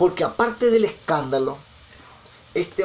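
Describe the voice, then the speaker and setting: A man talks at a moderate pace with very wide pitch swings. Noticeable background noise and audible room echo are present. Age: 60s. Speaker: preacher. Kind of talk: sermon. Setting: recorded message sent over WhatsApp.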